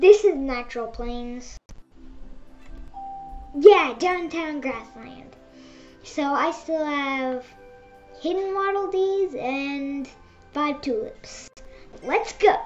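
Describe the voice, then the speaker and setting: Speech comes at a very slow pace with long, frequent pauses and big swings in loudness, with faint music in the background. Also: woman, high pitch for a woman. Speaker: gamer. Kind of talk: gameplay commentary. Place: home room.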